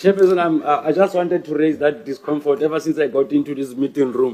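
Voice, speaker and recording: A man talks at a fairly quick pace, his pitch fairly high with ordinary variation. Noticeable background noise is present. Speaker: member of parliament. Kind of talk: parliamentary committee questioning. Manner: halting.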